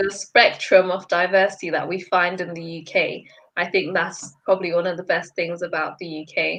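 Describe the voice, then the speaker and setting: With a medium pitch and a monotone, flat intonation, a woman speaks at a moderate pace. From Zimbabwe. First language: not English. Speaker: student advisor. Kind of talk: live Q&A chat.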